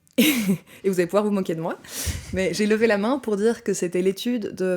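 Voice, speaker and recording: Her pitch is medium, with ordinary variation. The woman speaks at a fairly quick pace. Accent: Belgian. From Belgium, Brussels. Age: 20s. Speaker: anthropology student. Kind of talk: podcast interview. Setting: studio.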